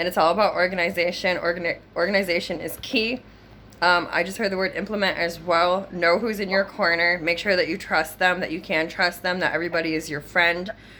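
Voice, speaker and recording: Her medium-pitched voice keeps a fairly even intonation as the woman speaks. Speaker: psychic medium doing a reading. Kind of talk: psychic reading session. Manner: casual, filler-heavy; fast.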